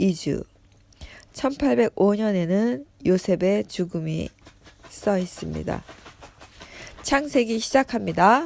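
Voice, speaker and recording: With a dark, mellow tone and medium pitch, a woman speaks very slowly, her intonation lively. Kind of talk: reading aloud Bible commentary with personal remarks. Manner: halting with self-corrections.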